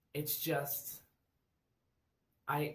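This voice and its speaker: The speaker is a man. There is audible room echo. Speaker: college student applying for resident assistant. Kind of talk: virtual job interview monologue. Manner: loud; rambling, halting with fillers.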